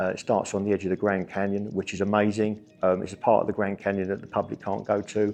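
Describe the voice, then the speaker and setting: A man rattles along at a very fast pace in a fairly low, monotone, flat voice, with a quiet background. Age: 60s. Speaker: ultra runner. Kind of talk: interview.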